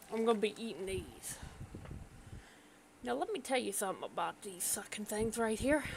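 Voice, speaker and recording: Pausing long and often, a woman talks at a moderate pace with a fairly high pitch and ordinary pitch variation. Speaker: gaming streamer. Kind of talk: casual game stream chat. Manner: animated; loud.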